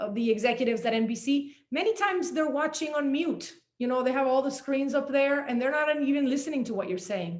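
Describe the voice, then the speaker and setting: Using lively intonation and a high pitch, a woman with a Spanish accent speaks at a fairly quick pace with hardly any pauses. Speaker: journalist and author. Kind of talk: panel talk.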